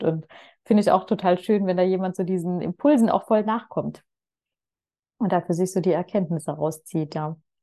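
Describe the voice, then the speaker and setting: In a quiet setting, a woman with a fairly low pitch and a dark, mellow tone speaks at a moderate pace with fairly even intonation. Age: 30s. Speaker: personal and business coach. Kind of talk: casual chat.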